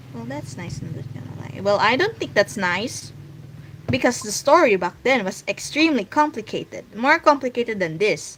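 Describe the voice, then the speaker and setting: A woman with a Filipino accent, medium pitch, very wide pitch swings and big swings in loudness. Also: moderate pace. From Philippines. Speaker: streamer and webcomic artist. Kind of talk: casual livestream chat. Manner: halting.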